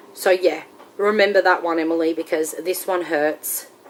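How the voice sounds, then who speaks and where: Fairly slow speech from a woman with an Australian accent, fairly low in pitch and monotone, amid noticeable background noise. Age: 30s. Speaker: weight-loss surgery vlogger. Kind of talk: casual vlog monologue.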